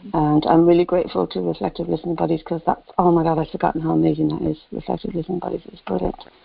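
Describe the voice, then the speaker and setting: With hardly any pauses, a woman speaks at a very fast pace with big swings in loudness. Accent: English. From England. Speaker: caller. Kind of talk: casual chat. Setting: phone call.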